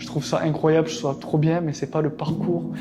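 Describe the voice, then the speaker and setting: Noticeable noise fills the background. A man talks with audible room echo around his voice. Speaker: drama student and rapper. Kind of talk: documentary monologue. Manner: hesitant, with many fillers.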